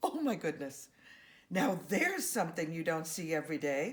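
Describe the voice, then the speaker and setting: Using a put-on character voice, a woman speaks at a fairly low pitch and a moderate pace. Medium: read story.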